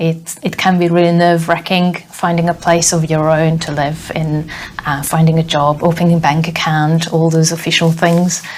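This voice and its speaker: The woman's intonation is monotone and flat, with noticeable background noise behind her. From Hungary. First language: Hungarian. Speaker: software tester, former teacher. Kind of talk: interview.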